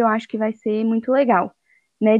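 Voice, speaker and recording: A woman speaks in a normal speaking voice at a fairly high pitch. Her pace is moderate. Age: 20s. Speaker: podcast co-host. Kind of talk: casual chat.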